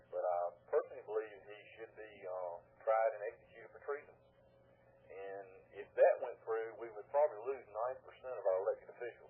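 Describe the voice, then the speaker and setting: A man talks at a fairly quick pace with a Southern US accent. His loudness swings widely. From US South. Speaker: caller. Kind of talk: call-in radio talk. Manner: halting.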